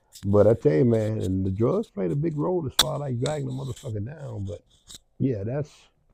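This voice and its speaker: Somewhat breathy, a man with an American accent and medium pitch talks at a fairly quick pace, with very wide pitch swings and big swings in loudness. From Milwaukee, US Midwest. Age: 70s. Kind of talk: interview. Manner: halting, repetitive.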